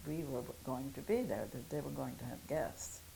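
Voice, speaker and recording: With audible room echo, a woman with a German accent speaks in a very deep, low voice. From Germany. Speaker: Holocaust survivor. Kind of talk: testimony. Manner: halting.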